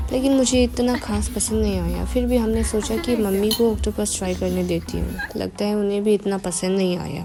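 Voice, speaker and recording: A woman talks in an Arunachal accent with hardly any pauses. Music plays in the background. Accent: Arunachal Hindi. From Arunachal Pradesh, India. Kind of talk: casual vlog voice-over. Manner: careful, effortful Hindi.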